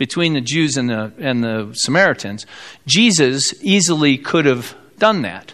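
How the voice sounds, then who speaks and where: With an American accent, a man speaks at a fairly slow pace while his pitch swings very widely. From US Midwest, South Bend, Indiana. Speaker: pastor. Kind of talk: sermon. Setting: church.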